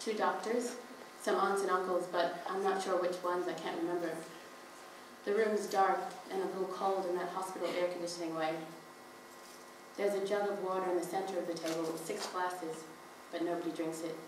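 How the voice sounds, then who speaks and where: A woman talks at a fairly quick pace but with long, frequent pauses, her medium-pitched voice monotone and flat, over noticeable background noise. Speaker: spoken word performer reading own written piece. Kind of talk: spoken word poetry reading at a live performance event; live reading of a written piece, narrative prose. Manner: reflective, measured narrative reading.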